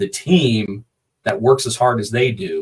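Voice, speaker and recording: Somewhat breathy, a man talks at medium pitch with ordinary pitch variation. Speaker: combat sports ring announcer. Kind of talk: interview answer.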